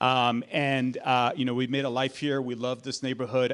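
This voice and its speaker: A man talks at a fairly quick pace in a Spanish accent. His voice sits at a medium pitch. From Colombia. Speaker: political candidate. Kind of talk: candidate forum speech. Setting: public forum with audience. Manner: halting, many fillers.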